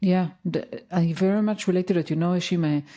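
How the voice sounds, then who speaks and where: A woman with a non-native accent speaks at a fairly quick pace in a dark, mellow tone. The recording is very clean with a silent background. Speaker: podcast host. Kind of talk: interview conversation.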